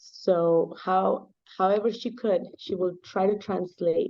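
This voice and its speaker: With a Spanish accent, a woman speaks at a medium pitch in a monotone, flat intonation. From Mexico. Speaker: nonprofit foundation founder. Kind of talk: interview. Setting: video call.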